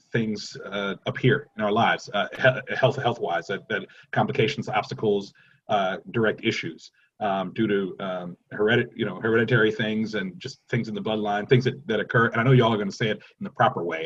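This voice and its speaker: With an ordinary speaking voice, a man talks fairly quickly at medium pitch with ordinary pitch variation. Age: 40s. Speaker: panel moderator. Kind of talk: panel discussion.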